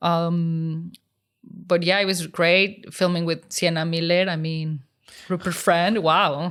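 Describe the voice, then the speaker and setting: A woman in a Mexican accent, fairly low-pitched, very slow, with monotone, flat intonation. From Mexico. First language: Spanish. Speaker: unit stills photographer. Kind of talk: interview.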